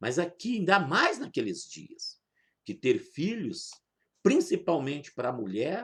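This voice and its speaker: With a high pitch, a man speaks in very wide pitch swings. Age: 60s. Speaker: pastor. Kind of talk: sermon.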